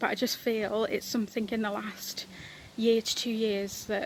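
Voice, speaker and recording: A woman at medium pitch, moderate pace, monotone and flat in intonation. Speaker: palliative care worker giving a church devotional. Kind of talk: recorded devotional talk. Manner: halting, many fillers.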